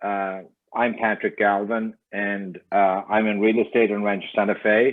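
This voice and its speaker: Fairly slow, monotone speech with flat intonation and a non-native accent. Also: man, fairly low pitch for a man. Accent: noticeable foreign. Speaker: real estate agent, club member. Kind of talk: audience question.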